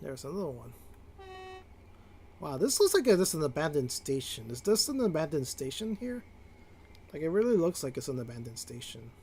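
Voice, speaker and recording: The voice is somewhat breathy and swings very widely in pitch. It rushes at a very fast pace yet breaks into long, frequent pauses. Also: man, fairly high pitch for a man. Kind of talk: gameplay livestream commentary. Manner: casual, rambling with fillers.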